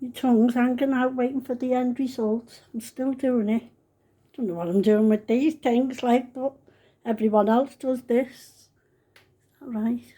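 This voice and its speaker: A woman with a Liverpool accent speaks at a fairly slow pace in a high, dark, mellow voice, her intonation fairly even and her speech broken by long, frequent pauses. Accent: Scouse. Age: 70s. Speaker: home cook vlogger. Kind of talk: cooking tutorial. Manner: chatty.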